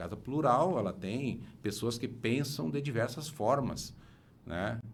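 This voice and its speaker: Amid audible room echo, a man speaks at a fairly slow pace with a medium pitch. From Rio Grande do Sul, Missões region. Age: 60s. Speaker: engineer and former city councillor. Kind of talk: interview. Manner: halting, many repetitions and fillers.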